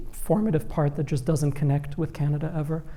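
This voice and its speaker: In a room with audible echo, a man speaks at a fairly quick pace in a fairly high pitch, his tone dark and mellow and somewhat breathy. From Qatar. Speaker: novelist. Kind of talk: panel conversation.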